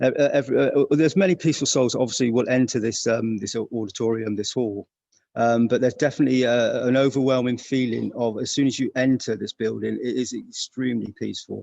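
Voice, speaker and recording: A man with a British accent, a dark, mellow tone, fairly even intonation and a fairly quick pace. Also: medium pitch for a man, hardly any pauses. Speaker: interviewer. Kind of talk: casual interview. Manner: hushed, keeping voice down; halting, many fillers.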